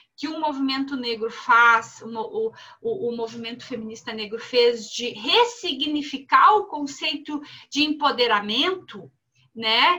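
In a raised, projected voice with a bright, sharp tone, a woman speaks high and fairly slowly with lively intonation. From southern Brazil. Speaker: philosophy professor. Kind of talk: panel discussion.

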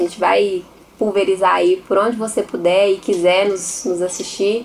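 A woman talks at a moderate pace with a medium pitch. Noticeable background noise runs through the clip. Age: 30s. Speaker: podcast co-host. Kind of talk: casual chat.

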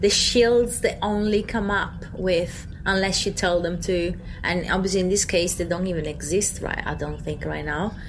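Over noticeable background noise, a woman speaks at medium pitch and a moderate pace, her intonation fairly even and hardly any pauses. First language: not English. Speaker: podcast co-host. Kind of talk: casual chat.

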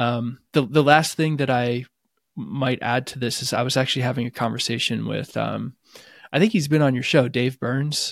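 A man with an American accent at a medium pitch, with vocal fry, fairly even intonation and a moderate pace, on a very clean recording with a silent background. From US. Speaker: psychotherapist. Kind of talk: casual chat.

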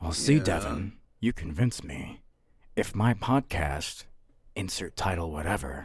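A man's voice with lively intonation. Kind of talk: comic improvised villain monologue. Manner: calm, menacing, theatrical.

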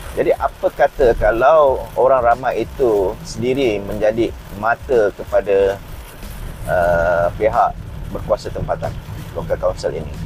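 A man speaking at a fairly slow pace, with music in the background. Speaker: podcast host, IoT technologist. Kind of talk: solo podcast monologue. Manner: hesitant, many fillers.

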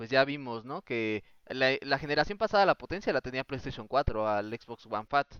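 Lively in intonation, a man with an unremarkable speaking voice talks at a medium pitch and a moderate pace. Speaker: podcast host. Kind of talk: casual chat. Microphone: own voice recorded too quiet.

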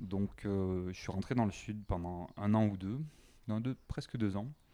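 The voice has a dark, mellow tone and a calm, relaxed manner, moving at a fairly slow pace with fairly even intonation. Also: man. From southwest France, Carcassonne. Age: 20s. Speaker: expatriate sharing dating life. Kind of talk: casual interview chat.

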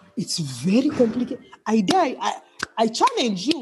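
Amid noticeable background noise, a woman with a Kenyan coastal accent talks at a moderate pace and a fairly high pitch. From Kenya, Mombasa (coast). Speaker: musician. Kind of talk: casual interview.

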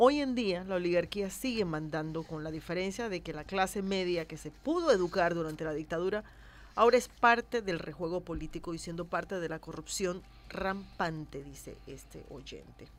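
With a fairly low pitch that varies in an ordinary way, a woman uses an ordinary speaking voice at a moderate pace. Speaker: radio host. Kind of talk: radio talk show.

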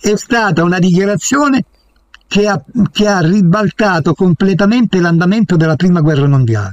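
Lively intonation carries the speech along at a moderate speed. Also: man, high pitch for a man, very even loudness. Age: 80s. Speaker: guest, former maths teacher. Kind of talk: heated debate.

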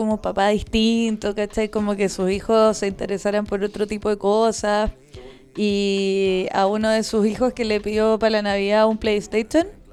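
Here a woman speaks with a Chilean accent at a moderate pace. Her pitch is fairly high. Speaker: podcast co-host. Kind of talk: casual chat. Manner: animated.

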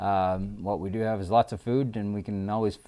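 A dark, mellow tone comes through at a moderate pace with fairly even intonation. The recording is very clean, with a silent background. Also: man. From Newfoundland. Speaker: restaurant franchise owner. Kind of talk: casual interview. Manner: halting, many fillers.

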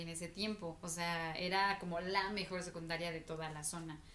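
In a central Mexican accent, a woman speaks at a medium pitch and moderate pace, with audible room echo. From Mexico, Estado de México. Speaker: podcast co-host. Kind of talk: casual chat.

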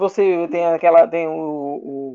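A man speaks with a high-pitched voice. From Brazil, interior of Alagoas. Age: 30s. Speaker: illustrator. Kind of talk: casual interview chat.

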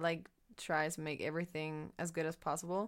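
A woman is talking. Her speech carries a German accent. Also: very clean recording, silent background. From Germany. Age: young. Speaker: former au pair. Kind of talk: casual chat.

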